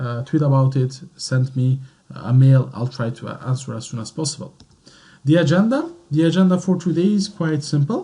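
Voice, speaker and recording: At a moderate pace, the speaker talks with a French accent, a somewhat breathy voice, a dark, mellow tone and ordinary pitch variation. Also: man, fairly high pitch for a man. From Belgium, French-speaking centre. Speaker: IT consultant. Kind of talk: webinar presentation. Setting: online webinar. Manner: hesitant, many fillers.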